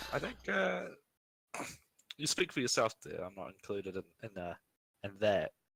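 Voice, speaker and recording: A man with a New Zealand accent speaks at a moderate pace in a fairly low pitch, his voice showing vocal fry and very wide pitch swings. Long, frequent pauses break up his speech, and the sound is dry and close with no echo. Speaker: stream guest. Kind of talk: casual chat.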